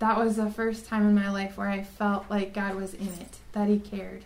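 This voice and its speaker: In an American accent, a woman with a medium pitch speaks at a fairly slow pace in a monotone, flat manner amid audible room echo. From South Dakota, US. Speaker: religion teacher. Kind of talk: testimony.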